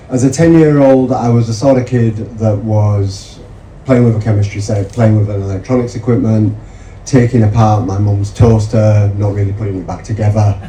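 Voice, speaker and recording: Audible room echo and noticeable background noise fill the recording. The speech moves at a moderate pace with fairly even intonation. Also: man, fairly low pitch for a man. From northern England, Yorkshire (Mirfield). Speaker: medical researcher. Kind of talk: seminar talk.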